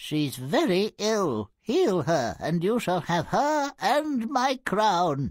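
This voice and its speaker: In a put-on character voice, a high-pitched man speaks at a very slow pace with hardly any pauses and very wide pitch swings. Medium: video game.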